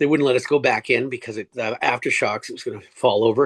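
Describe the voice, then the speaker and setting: A man with a Canadian accent talks at a very fast pace with fairly even intonation. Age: 60s. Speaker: cancer survivor and swimmer. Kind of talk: interview. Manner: halting.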